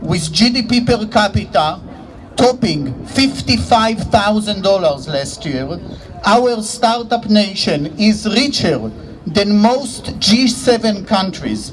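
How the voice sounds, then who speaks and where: Speaking at a very slow pace with a high pitch and lively intonation, a man with an Israeli accent is heard through audible room echo and noticeable background noise. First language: Hebrew. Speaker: economics professor. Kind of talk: rally speech.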